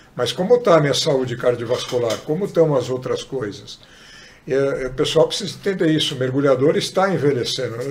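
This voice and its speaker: Fairly quick, fairly high-pitched speech from a man, ordinary in pitch variation, over noticeable background noise. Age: 60s. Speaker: sports medicine doctor. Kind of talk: podcast interview.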